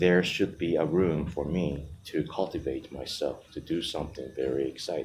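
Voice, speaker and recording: The speech comes in a Japanese accent at a moderate pace. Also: man. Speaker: vlogger. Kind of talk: personal monologue.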